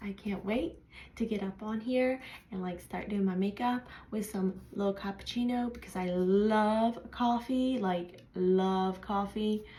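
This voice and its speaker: A woman speaks at medium pitch with a somewhat breathy quality. Her pace is fairly slow and her intonation fairly even. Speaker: aspiring beauty influencer. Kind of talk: casual vlog introduction. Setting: at home in pajamas before bed. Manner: casual, many fillers.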